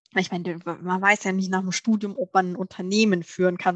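In a dry, close recording with no echo, a woman speaks at a moderate pace with fairly even intonation. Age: 30s. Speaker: managing director of family food company. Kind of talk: interview. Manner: hesitant, many filler sounds.

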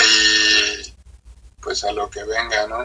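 Here a man talks at a very slow pace. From Mexico, Estado de México (Ixtapaluca). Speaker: independent trap artist. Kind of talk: casual interview.

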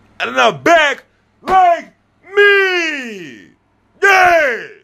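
A man shouting in a bright, sharp tone. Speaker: social media creator. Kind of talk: casual vlog monologue. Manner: loud; animated.

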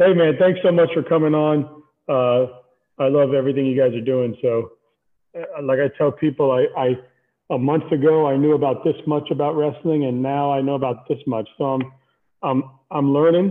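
This man has an ordinary speaking voice, fairly high in pitch, with an American accent. He talks at a moderate pace with fairly even intonation. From Miami, South Florida. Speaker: wrestling podcast host. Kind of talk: interview. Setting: video call.

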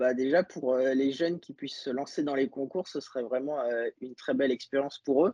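A man's fairly high, dark, mellow voice with fairly even intonation, dry and close with no echo. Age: 20s. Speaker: pastry chef. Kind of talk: interview. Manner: halting.

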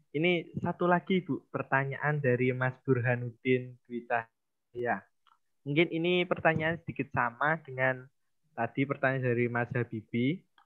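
A man with an unremarkable speaking voice talks at a moderate pace in a medium pitch, his pitch varying in an ordinary way. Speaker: student event MC. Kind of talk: formal event hosting. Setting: video call.

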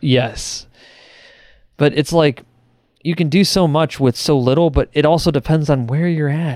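Over a very clean, silent background, a man speaks at a moderate pace with a fairly high pitch, fairly even intonation, and long, frequent pauses. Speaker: podcast co-host. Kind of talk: casual chat.

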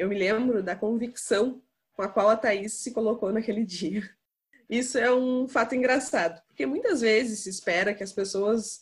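A somewhat breathy woman at a fairly high pitch and fairly slow pace. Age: 20s. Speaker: podcast host. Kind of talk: casual chat.

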